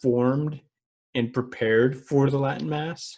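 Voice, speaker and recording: With a dark, mellow tone, a man speaks at a medium pitch with ordinary pitch variation. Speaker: podcast co-host. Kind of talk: casual chat. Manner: slow.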